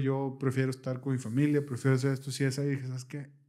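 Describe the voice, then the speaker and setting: This man's voice is fairly high in pitch, with a dark, mellow tone. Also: quiet background. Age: 30s. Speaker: podcast host. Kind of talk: casual chat. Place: studio. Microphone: studio mic.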